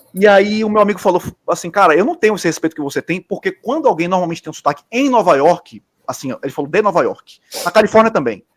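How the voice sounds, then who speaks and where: With a Bahian accent, a man talks at a very fast pace with lively intonation, the sound dry and close with no echo. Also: very clean recording, silent background. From Bahia, Brazil. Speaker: architect. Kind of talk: casual chat.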